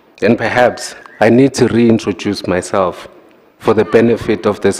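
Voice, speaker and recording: A man with a non-native accent speaks at a moderate pace in a fairly low voice with fairly even intonation, over noticeable background noise. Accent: non-native English pronunciation. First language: not English. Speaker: executive mayor. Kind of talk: formal council debate speech. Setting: council chamber podium. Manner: formal.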